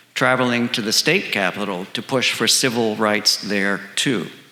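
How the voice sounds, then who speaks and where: A man with an American accent, fairly slow pace and ordinary pitch variation, over noticeable background noise. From Southern California. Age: 60s. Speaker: storyteller. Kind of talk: personal storytelling performance.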